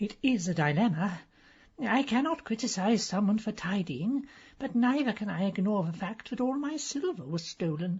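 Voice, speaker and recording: Very wide pitch swings in a woman's put-on character voice, medium in pitch, at a moderate pace. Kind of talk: comic aristocratic hauteur. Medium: audio drama. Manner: haughty, clipped.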